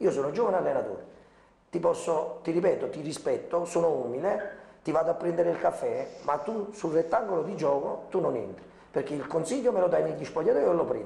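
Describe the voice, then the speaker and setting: Room echo can be heard around the speaker. He is a man talking at a fairly quick pace. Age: young. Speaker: football coach. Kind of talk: TV sports talk show discussion. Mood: animated, aggrieved. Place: studio. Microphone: lapel.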